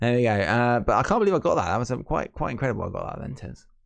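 This man talks at a very fast pace with vocal fry, his pitch medium. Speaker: wrestling podcast host. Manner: fast talker; mumbles.

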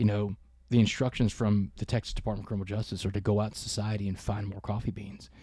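Talking very fast, a man uses a fairly low, dark, mellow, somewhat breathy voice with monotone, flat intonation. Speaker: keynote speaker and author. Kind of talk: interview storytelling. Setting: ranch, in person.

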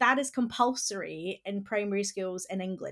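A woman with a Scottish accent talks at a moderate pace in a very clean recording over a silent background. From Scotland. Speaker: classics professor and education advocate. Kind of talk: interview discussion.

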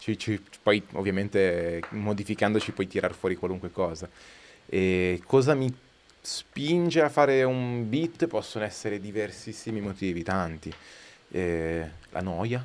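A man's fairly low voice with lively intonation at a fairly slow pace, on a very clean recording with a silent background. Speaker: guest, music producer and rapper. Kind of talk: casual chat, live podcast. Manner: enthusiastic.

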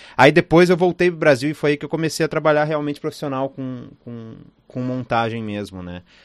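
A man speaks fairly quickly in a fairly high voice, with ordinary pitch variation and big swings in loudness. The recording is very clean, with a silent background. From Rio Grande do Sul, Brazil. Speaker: film editor. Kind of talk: interview. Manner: halting, many fillers and repetitions.

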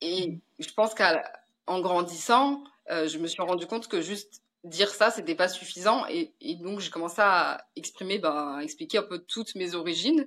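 A woman at a medium pitch, a plain, everyday voice, lively intonation and a moderate pace. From France. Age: 30s. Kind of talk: interview.

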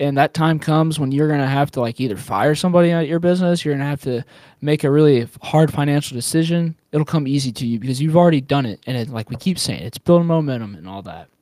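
Talking at a very fast pace with hardly any pauses, a man has a fairly high pitch, ordinary pitch variation, a dark, mellow tone and big swings in loudness, on a very clean recording with a silent background and a dry, close sound with no echo. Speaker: podcast co-host. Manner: energetic, punchy, casual, pep-rally style.

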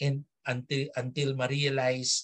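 A man at medium pitch and a fairly slow pace. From Philippines, Filipino Chinese community. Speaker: theater director and academic. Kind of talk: interview. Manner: halting, many fillers.

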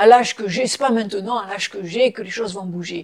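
Fairly even intonation marks a woman's medium-pitched speech. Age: 60s. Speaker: psychotherapist and ceremony officiant. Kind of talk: interview. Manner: halting.

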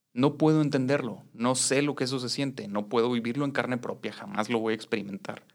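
This man speaks with a Mexican accent at medium pitch and ordinary pitch variation. His pace is fairly quick, with hardly any pauses. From Mexico. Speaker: activist and educator. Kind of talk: interview conversation.

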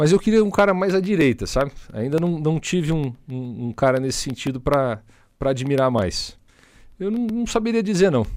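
A man talks at a moderate pace with a fairly high pitch and very wide pitch swings. The recording is very clean, with a silent background. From Paraná, Brazil (Maringá). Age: 30s. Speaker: state politician. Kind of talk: podcast interview.

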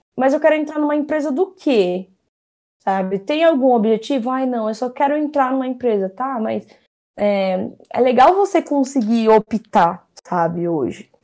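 A woman speaks at a high pitch and a fairly slow pace, her pitch swinging very widely. The recording is very clean, with a silent background. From Brazil, São Paulo (Zona Norte). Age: 20s. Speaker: product designer. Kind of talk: casual interview. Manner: halting, many fillers.

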